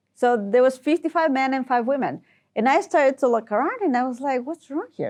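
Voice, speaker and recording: A woman speaks with a Spanish accent. Her intonation is lively. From Ecuador. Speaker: tech executive and engineer. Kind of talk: podcast interview.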